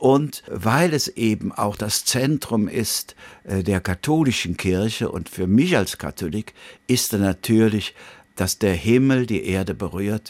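On a very clean recording with a silent background and a dry, close sound with no echo, the speaker talks at a very slow pace with lively intonation. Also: man. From Bergisches Land, Rhineland (Wipperfürth). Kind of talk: radio interview.

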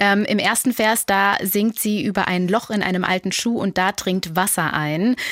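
A normal speaking voice moves at a moderate pace with hardly any pauses. Intonation stays fairly even and loudness very even. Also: woman, medium pitch for a woman. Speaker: music editor. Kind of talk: casual chat.

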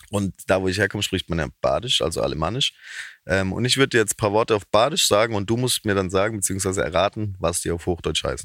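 Speaking very fast with a Baden accent, a man uses a fairly low pitch and ordinary pitch variation in a very clean, dry, close recording with a silent background and no echo. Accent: dialect speaker, Baden. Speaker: comedian and musician. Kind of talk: casual interview.

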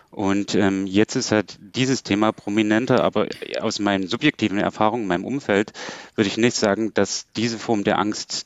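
A man's plain, everyday voice, fairly low in pitch, at a moderate pace with ordinary pitch variation. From Saxony, Germany. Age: young. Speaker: philosopher and political scientist. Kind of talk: radio panel discussion.

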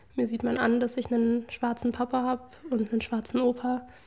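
Noticeable background noise sits behind a woman speaking at a fairly quick pace. Her voice is high and her intonation flat and monotone. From Germany, Leipzig. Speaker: daughter of the doctor. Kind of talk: interview testimony.

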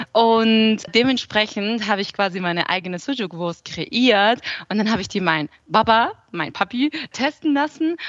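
A woman with a normal speaking voice, fairly high pitch, lively intonation and a moderate pace. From southern Germany (Aalen, Swabia). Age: 20s. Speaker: food blogger and cookbook author. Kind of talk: interview.

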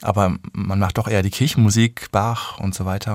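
Here a man speaks in a calm tone with fairly even intonation. His pitch sits fairly low and his pace is moderate. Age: 40s. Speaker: conductor and harpsichordist. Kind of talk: interview.

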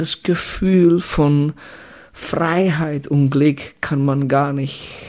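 With a Czech accent and noticeable background noise, a man talks very slowly at a fairly high pitch, his intonation fairly even. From Czech Republic, Litvínov. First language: Czech (speaking German). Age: 40s. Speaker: former ice hockey player and coach. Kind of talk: interview. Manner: halting.

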